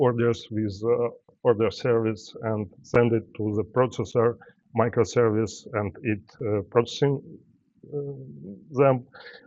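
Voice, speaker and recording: A man speaks with a non-native accent. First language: not English. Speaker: software developer, conference speaker. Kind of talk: tech talk with live demo. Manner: halting, many fillers.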